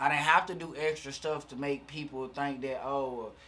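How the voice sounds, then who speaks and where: Male speaker, Southern US accent. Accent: southern twang. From US South, Alabama (Fairfield, near Birmingham). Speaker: rapper. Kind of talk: casual chat.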